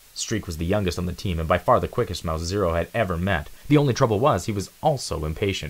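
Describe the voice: A man talks at a fast pace with a low pitch. His pitch variation is ordinary.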